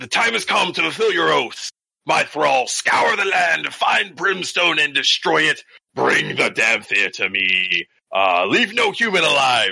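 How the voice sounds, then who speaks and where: A man puts on a character voice. His loudness stays very even. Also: fairly slow pace. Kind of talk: theatrical. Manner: emotional, rallying.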